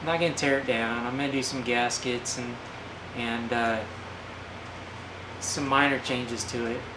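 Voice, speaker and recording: Fairly slow, monotone, flat speech in an American accent over noticeable background noise. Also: man. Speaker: DIY mechanic and garage hobbyist. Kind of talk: casual talk to camera.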